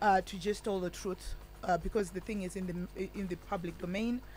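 A woman speaks with a Zimbabwean accent in a somewhat breathy voice. The sound is dry with no echo. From Zimbabwe, Chegutu area. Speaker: women's rights activist; radio guest. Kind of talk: radio interview. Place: studio. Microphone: studio mic.

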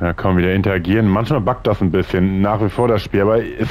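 A fairly low-pitched man's voice at a very fast pace. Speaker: gaming video creator. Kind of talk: let's play commentary. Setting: home recording.

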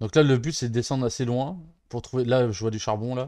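Fairly quick, fairly even speech from a man, dark and mellow in tone, with a dry sound and no echo. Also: quiet background. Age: 30s. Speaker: gaming streamer; streamer. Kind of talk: let's play commentary. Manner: casual, hesitant with many fillers. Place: home room.

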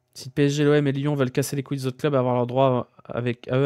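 With a quiet background and a dry sound with no echo, a man talks at a very fast pace. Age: 30s. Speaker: streamer. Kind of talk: casual chat. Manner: animated. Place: home room. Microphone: studio mic.

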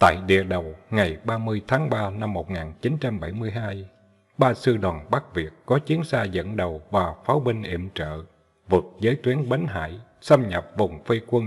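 The voice is somewhat breathy, with lively intonation and a very slow pace. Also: man. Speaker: audiobook narrator. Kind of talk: literary audiobook reading of war history, formal written prose read aloud. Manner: formal, measured, steady narration; solemn, dramatic tone on battle details.

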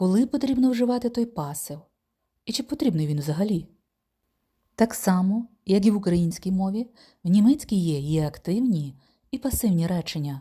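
A woman speaks at a medium pitch and moderate pace, her dark, mellow tone somewhat breathy. Her pitch swings very widely, with long, frequent pauses. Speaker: German language teacher. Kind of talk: tutorial.

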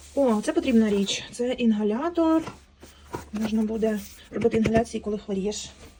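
Speech runs at a moderate pace with ordinary pitch variation and long, frequent pauses. Noticeable background noise is present. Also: woman, fairly high pitch for a woman. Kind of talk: ASMR unboxing, casual talk. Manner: normal speaking voice, not whispered.

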